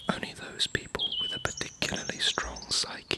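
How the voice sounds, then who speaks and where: A man whispers at a moderate pace while noticeable background noise runs underneath. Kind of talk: ASMR reading. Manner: whispered.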